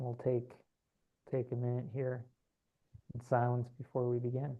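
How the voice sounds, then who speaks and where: Soft-spoken and monotone, a man delivers his words at a moderate pace with flat intonation. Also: medium pitch for a man. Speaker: spiritual channeler. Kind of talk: guided meditation; casual chat. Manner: halting.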